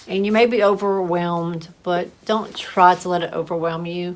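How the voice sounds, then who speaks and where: A woman at medium pitch keeps her intonation fairly even over noticeable background noise. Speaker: massage therapist. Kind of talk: casual vlog talk to camera. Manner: halting, with fillers and repetitions.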